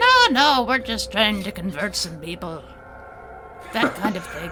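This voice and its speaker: A croaky put-on character voice at a fairly high pitch moves at a moderate pace against clear background noise. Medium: actual play. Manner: cryptic, gentle, knowing.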